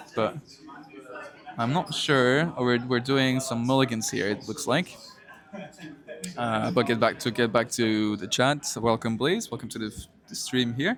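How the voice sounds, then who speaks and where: The speech comes at a fairly slow pace, with long, frequent pauses and ordinary pitch variation. Noticeable background noise runs underneath. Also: man, medium pitch for a man. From Belgium (Flanders). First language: Dutch (Flemish). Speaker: esports caster. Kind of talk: live commentary. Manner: hesitant, many fillers and restarts.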